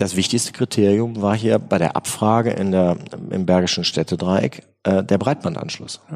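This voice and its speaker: A man talks in an unremarkable speaking voice at a fairly low pitch. His loudness stays very even, with ordinary pitch variation and a moderate pace. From Germany, Bergisches Land (Remscheid). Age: 40s. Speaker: state politician and lawyer. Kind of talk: interview.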